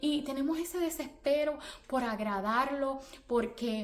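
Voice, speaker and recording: A woman's high voice in a Puerto Rican accent, very slow pace, ordinary pitch variation and audible room echo. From Puerto Rico. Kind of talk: religious motivational talk. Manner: repetitive, earnest.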